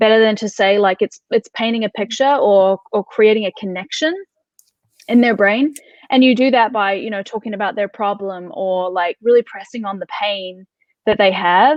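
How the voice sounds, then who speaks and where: A woman with a New Zealand accent speaks at a fairly high pitch and a moderate pace, with ordinary pitch variation. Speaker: content marketing expert. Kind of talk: interview. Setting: live video talk show.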